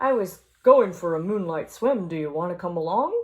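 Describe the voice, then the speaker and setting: A woman puts on a croaky character voice at a medium pitch. She speaks at a moderate pace with lively intonation. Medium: read story. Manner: gentle, encouraging.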